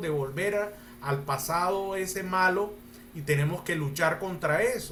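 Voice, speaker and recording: Audible room echo surrounds a man with a high pitch. He talks at a fairly slow pace with ordinary pitch variation. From Colombia. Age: 60s. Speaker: lawyer and mediator. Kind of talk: panel talk answering audience questions.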